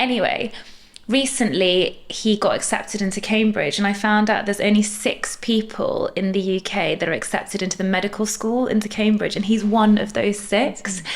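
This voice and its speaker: A woman's fairly high, fairly even voice against noticeable background noise. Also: moderate pace. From Middle East. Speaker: dentist, podcast co-host. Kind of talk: casual chat.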